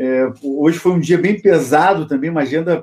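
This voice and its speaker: A man's voice at a fairly high pitch. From Rio Grande do Sul, Brazil. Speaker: logistics consultant and YouTuber. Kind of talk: interview.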